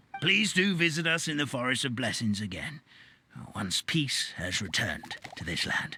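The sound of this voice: A man puts on a character voice at a moderate pace, his medium pitch carrying a bright, sharp tone, a slightly husky edge and lively intonation.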